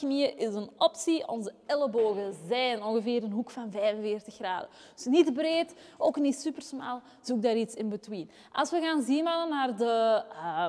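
A woman talks fairly slowly. Nothing stirs in the background. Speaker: fitness coach. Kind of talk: workout tutorial. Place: gym. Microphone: lapel.

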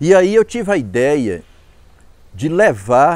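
A man's voice with very wide pitch swings, in a dry sound with no echo. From Ceará, Brazil (rural Quixadá); Ceará, Brazil. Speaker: cordel poet and author; cordel poet. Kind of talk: interview testimony. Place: garden. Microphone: lapel.

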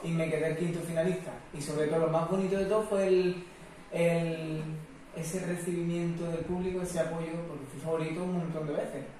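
A man's fairly high voice with a dark, mellow tone, a fairly quick pace, little pitch movement and audible room echo.

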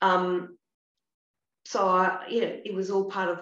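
An Australian woman speaks at a moderate pace and medium pitch, with audible room echo. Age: 60s. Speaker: actress. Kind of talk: casual chat. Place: home room. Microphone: video call.

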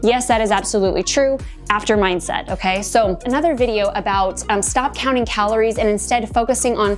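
Over faint background music, a woman talks at a fairly quick pace with ordinary pitch variation. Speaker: fitness coach. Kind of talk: tutorial. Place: home room.

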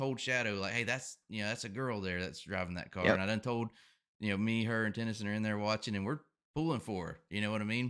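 A man talks at a very fast pace in a fairly low pitch with ordinary pitch variation, against a quiet background. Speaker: podcast host. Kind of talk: casual commentary chat. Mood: upbeat, laughing. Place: home room. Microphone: studio mic.

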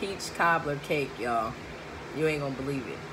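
Noticeable background noise surrounds a woman speaking. Her pitch is very deep and low, and her intonation fairly even. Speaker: food vlogger. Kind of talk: casual vlog chat. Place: home room. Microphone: phone near.

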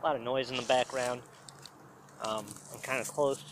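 A man's voice comes through with a dry sound and no echo. Noticeable background noise is present. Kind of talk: casual vlog chat. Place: forest. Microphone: phone near.

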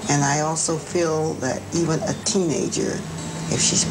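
A woman talks at a very slow pace. Music plays in the background. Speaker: interviewee. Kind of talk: interview answer. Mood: earnest, opinionated. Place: home room. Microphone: lapel.

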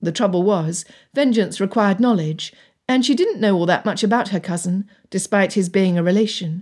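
An unforced reading voice with ordinary pitch variation. The background is quiet.

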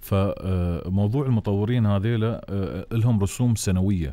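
A man speaks with an Emirati accent and a dark, mellow tone. His pitch variation is ordinary, and the sound is dry with no echo. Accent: Emirati Gulf Arabic. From UAE. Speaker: radio and TV host. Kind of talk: live call-in show. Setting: studio. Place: studio. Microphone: studio mic.

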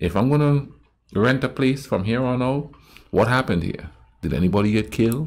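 Ordinary pitch variation in a man's speech. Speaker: reaction video host. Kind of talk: casual reaction commentary. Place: home room.

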